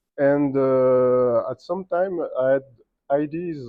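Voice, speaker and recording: With ordinary pitch variation, a man's voice sits at a medium pitch. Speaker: game designer. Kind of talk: interview at festival panel. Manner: halting.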